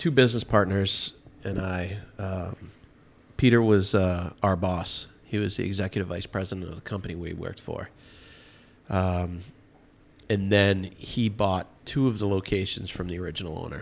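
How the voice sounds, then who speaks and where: A man with a Boston accent talks at a fairly low pitch with fairly even intonation, long, frequent pauses and big swings in loudness. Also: moderate pace, very clean recording, silent background. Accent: Boston-area American. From Massachusetts, Medfield (Metro West Boston). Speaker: bar and restaurant owner. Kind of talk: casual chat.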